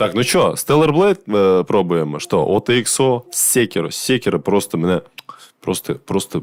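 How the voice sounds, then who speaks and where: A man talks fairly slowly, his intonation lively. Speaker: gaming streamer. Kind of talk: casual gameplay stream commentary. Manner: loud; casual, swearing, halting with fillers.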